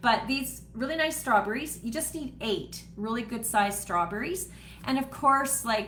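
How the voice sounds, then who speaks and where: At a moderate pace, a woman speaks with audible room echo. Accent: Canadian. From Canada (Manitoba). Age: 60s. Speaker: home cooking host and wellness seller. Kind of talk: live cooking demo chat. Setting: home office, livestream. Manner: casual, with frequent fillers.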